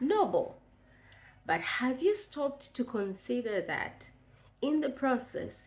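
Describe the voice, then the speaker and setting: A woman with a Tanzanian accent and a high voice, fairly slow pace, very wide pitch swings. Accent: East African (Tanzanian) English. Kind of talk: devotional talk to camera. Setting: on video to camera.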